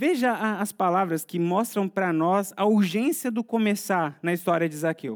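On a very clean recording with a silent background, a man with a high pitch talks at a fairly slow pace with lively intonation. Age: 30s. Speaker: pastor. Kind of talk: sermon.

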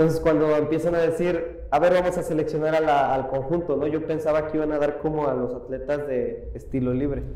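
A man with a Mexican accent talks at a fairly quick pace in a monotone, flat intonation, with audible room echo and noticeable background noise. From Mexico, Iguala, Guerrero. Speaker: parkour athlete. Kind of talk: interview. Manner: halting.

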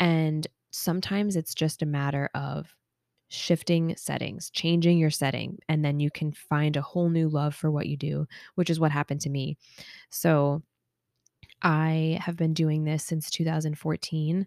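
A woman speaks in a very deep, low voice at a moderate pace with monotone, flat intonation. The recording is very clean, with a silent background and a dry, close sound with no echo. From US Northeast (Long Island, New York). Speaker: podcaster and occupational therapist. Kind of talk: casual solo podcast monologue. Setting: home apartment. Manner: casual, rambling with fillers.

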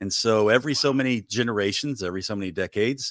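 On a very clean recording with a silent background and a dry, close sound with no echo, a man speaks fairly low and fairly quickly with ordinary pitch variation. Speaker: co-author of a novel. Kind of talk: casual interview. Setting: live-streamed podcast.

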